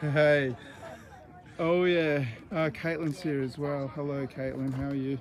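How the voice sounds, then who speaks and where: Quiet and fairly slow, a man with an Australian accent speaks at a fairly high pitch with fairly even intonation and long, frequent pauses. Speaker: independent news channel host. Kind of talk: casual live vlog chat. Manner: speaking quietly.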